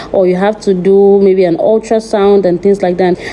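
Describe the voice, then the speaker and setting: Over noticeable background noise, a woman speaks at a medium pitch and moderate pace with fairly even intonation. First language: not English. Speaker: vlogger. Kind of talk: vlog narration. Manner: casual.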